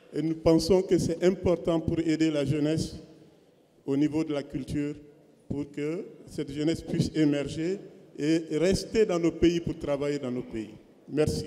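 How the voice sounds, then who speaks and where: With ordinary pitch variation and a fairly high pitch, a man speaks at a fairly slow pace, leaving long, frequent pauses. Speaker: visual artist. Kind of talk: panel discussion.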